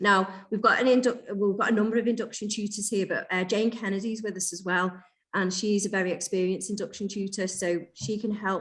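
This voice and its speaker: At a fairly quick pace, a woman talks in an ordinary speaking voice, pitched in the medium range with fairly even intonation. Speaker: teacher trainer. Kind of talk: online training session.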